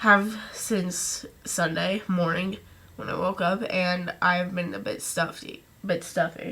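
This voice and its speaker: A woman speaks at a very slow pace and medium pitch. Her intonation is monotone and flat. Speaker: vlogger. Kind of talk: casual talk to camera. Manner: halting, many restarts.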